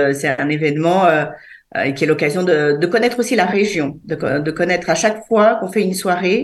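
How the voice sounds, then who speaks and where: Moving at a fairly quick pace, a woman in a plain, everyday voice speaks with lively intonation at a fairly low pitch. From France, Savoie, Sardinian parents.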